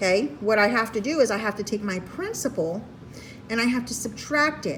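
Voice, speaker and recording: Through noticeable background noise, a woman with a fairly high pitch and ordinary pitch variation speaks at a moderate pace. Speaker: math teacher. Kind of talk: tutorial.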